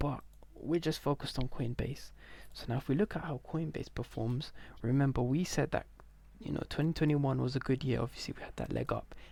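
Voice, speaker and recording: A man whispering at a fairly quick pace. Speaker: stock market commentator. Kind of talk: screen-share market analysis. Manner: casual, filler-heavy.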